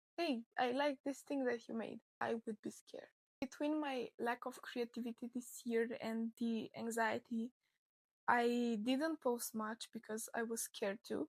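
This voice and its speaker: With a non-native accent, a woman speaks at a high pitch and a fairly slow pace, her intonation fairly even, the sound dry and close with no echo. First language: not English. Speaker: crochet content creator. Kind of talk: personal vlog monologue.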